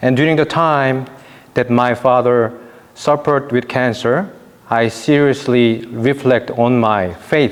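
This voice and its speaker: A man talks in a Korean accent with a medium pitch and fairly even intonation. His pace is very slow and his loudness very even. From South Korea. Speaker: priest. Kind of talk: testimony.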